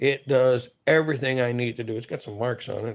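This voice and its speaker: Against a quiet background, a man talks at a fairly quick pace in a plain, everyday voice with fairly even intonation. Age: 50s. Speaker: outdoors knife reviewer. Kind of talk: casual video talk. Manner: relaxed, conversational.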